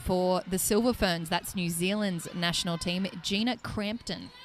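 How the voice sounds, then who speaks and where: Through noticeable background noise, a woman speaks at a medium pitch and a fairly slow pace. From Australia. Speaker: netball commentator. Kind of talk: live sports commentary. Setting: live event arena. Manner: animated.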